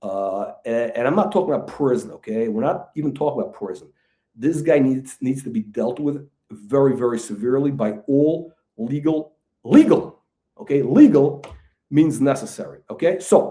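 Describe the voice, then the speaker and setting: At a moderate pace, a man with a dark, mellow tone and a fairly high pitch speaks with lively intonation. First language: not English. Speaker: channel host, stock fraud critic. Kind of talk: angry monologue video rant. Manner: halting, repetitive; heated, insulting.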